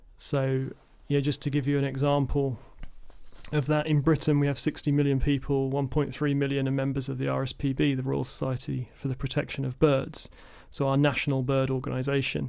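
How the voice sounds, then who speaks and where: With an English accent, a man speaks fairly quickly in a fairly high voice and a flat monotone. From England. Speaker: environmental educator and birder. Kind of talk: casual chat. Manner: halting.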